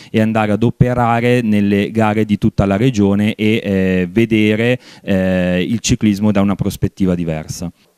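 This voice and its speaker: Over a quiet background, a man talks with fairly even intonation. His tone is dark and mellow, the sound dry with no echo. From Piedmont, province of Biella; Piedmont, Italy. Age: 20s. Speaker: cycling race official; regional cycling race judges president. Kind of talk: interview. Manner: hesitant, many fillers. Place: studio. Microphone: handheld.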